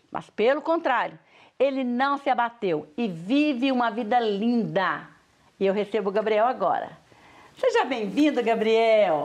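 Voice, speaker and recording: With lively intonation, a fairly high-pitched woman speaks at a fairly slow pace over a quiet background. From Brazil. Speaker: TV show host, pastor. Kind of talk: TV interview. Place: studio.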